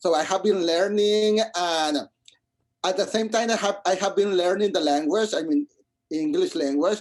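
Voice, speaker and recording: Speaking with a Spanish accent, a man has a high pitch and ordinary pitch variation. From Mexico, Monterrey. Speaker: musical theatre composer. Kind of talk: interview. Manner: halting, many repetitions.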